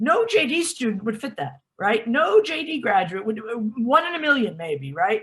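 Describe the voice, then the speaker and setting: A woman talks at a moderate pace in an American accent, with fairly high pitch. It is a plain, everyday voice. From United States. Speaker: law school dean. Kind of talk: interview Q&A advice.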